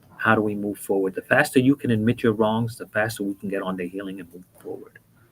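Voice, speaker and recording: At a very fast pace, a man talks at a fairly low pitch with fairly even intonation and big swings in loudness. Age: 50s. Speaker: former prisoner turned mentor. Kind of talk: interview.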